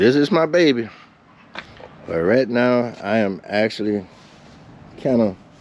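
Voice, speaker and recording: Over noticeable background noise, a man with a medium pitch talks at a fairly slow pace, his intonation lively and his loudness very even, with long, frequent pauses. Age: 70s. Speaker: motorcycle vlogger. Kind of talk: casual vlog storytelling.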